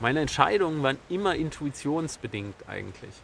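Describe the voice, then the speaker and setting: This man's intonation is lively, and he keeps a moderate pace. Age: 30s. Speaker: personal development YouTuber. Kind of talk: solo vlog monologue. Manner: halting, many fillers.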